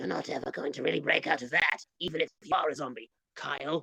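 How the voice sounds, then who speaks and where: In a put-on character voice, the speaker rasps along at a very fast pace and a low-to-middle pitch. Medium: actual play. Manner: menacing.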